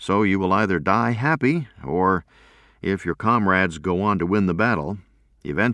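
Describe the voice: The pitch moves in an ordinary way through this plain reading aloud.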